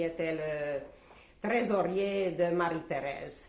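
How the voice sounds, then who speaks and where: A woman with a Hungarian accent speaks at a fairly low pitch with ordinary pitch variation. Audible room echo and noticeable background noise surround her voice. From Czechoslovakia, Hungarian-speaking family (southern Slovakia). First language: Hungarian (speaking French). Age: 70s. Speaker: Holocaust survivor. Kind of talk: testimony interview. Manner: hesitant, with frequent fillers.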